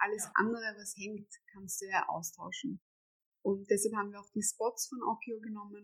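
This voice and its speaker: At a moderate pace, a woman with a medium pitch speaks in a monotone, flat intonation while her loudness swings widely. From Austria, Vienna. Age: 30s. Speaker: homeowner renovating an old house. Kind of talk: interview.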